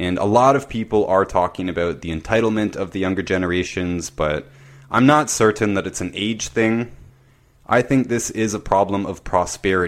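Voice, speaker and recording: A man with an unremarkable speaking voice talks at a moderate pace with a fairly low pitch and ordinary pitch variation. The recording is very clean, its background silent. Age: 30s. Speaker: podcast host, health consultant. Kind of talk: solo monologue.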